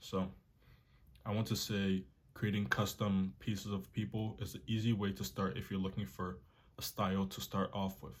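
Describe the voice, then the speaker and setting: Pitched fairly low, a man talks in a normal speaking voice at a moderate pace. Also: ordinary pitch variation. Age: young. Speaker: artist and art tutorial youtuber. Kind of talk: tutorial. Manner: casual, conversational.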